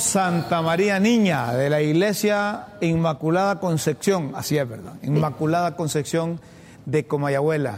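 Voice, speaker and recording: Pitched fairly high, a man speaks in a plain, everyday voice with lively intonation. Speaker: political commentary show host. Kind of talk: opinion commentary monologue.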